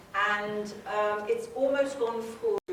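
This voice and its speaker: In a room with audible echo and noticeable background noise, a woman talks at a fairly high pitch with ordinary pitch variation. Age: 70s. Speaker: spa company founder. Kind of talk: talk to an audience. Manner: conversational.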